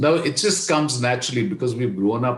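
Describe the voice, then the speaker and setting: With an Indian accent, a man speaks in a somewhat breathy, medium-pitched voice, and audible room echo surrounds him. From India, Kashmir. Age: 70s. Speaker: leadership coach. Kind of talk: podcast interview.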